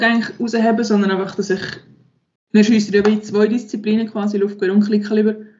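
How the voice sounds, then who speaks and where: Monotone, flat intonation in a somewhat breathy voice. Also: woman. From Switzerland, Aargau. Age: 20s. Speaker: professional sport shooter. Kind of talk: interview.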